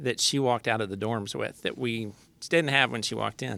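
A man with an American accent, a bright, sharp tone and vocal fry, at a fairly quick pace with ordinary pitch variation. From Texas, Lubbock. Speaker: association executive director and parent. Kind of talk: interview.

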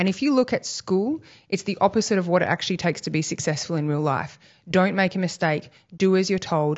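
A woman with an Australian accent at a very fast pace, with ordinary pitch variation. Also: medium pitch for a woman. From Western Australia. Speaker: homeschooling parent and advocate. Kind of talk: casual interview. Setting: at her home.

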